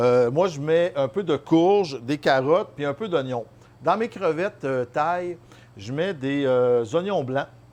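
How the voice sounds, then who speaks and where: Pitched fairly high, a man speaks very slowly with lively intonation. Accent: Quebec. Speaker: chef. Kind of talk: cooking tutorial. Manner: casual, many hesitations.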